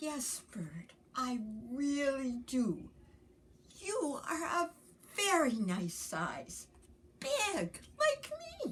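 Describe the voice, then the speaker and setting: Putting on a character voice, a woman speaks high in pitch with very wide pitch swings. She goes at a very slow pace, leaving long, frequent pauses. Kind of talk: bedtime story. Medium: read story. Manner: slow, gentle.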